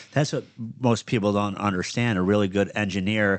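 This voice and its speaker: A man's fairly low voice with a Michigan accent, fairly even intonation and a fairly quick pace over a quiet background. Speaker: podcast host and business owner. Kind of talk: casual chat. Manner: stutters and misspeaks at times; clips word endings.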